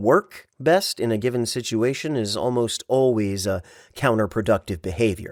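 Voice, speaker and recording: Medium in pitch, this man's voice is a plain, everyday voice. He is a man speaking normally. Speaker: voice actor. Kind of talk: audiobook narration.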